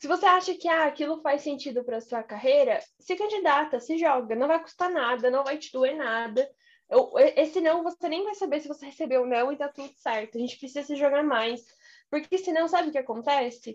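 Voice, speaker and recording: A woman speaks in a high voice with ordinary pitch variation. Her pace is fairly quick. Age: 20s. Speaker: career mentor. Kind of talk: casual chat.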